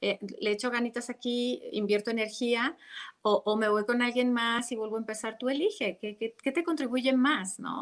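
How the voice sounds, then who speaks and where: Its pitch moves in an ordinary way. The pace is moderate. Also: woman, high pitch for a woman. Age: 40s. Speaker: meditation teacher and relationship coach. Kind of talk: interview about relationships.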